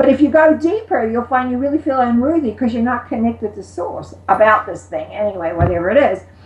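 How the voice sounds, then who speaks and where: A woman talks in a high voice with lively intonation. Noticeable background noise is present. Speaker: metaphysical teacher. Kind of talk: interview answer.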